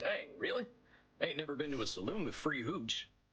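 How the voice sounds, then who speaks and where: Moderate pace from a man doing a put-on character voice, pitched fairly high. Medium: video game. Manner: folksy.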